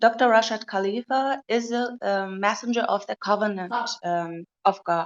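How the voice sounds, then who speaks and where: A woman speaks with a non-native accent and a fairly high pitch. Her pace is fairly slow. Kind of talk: question in online debate. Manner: halting, many fillers.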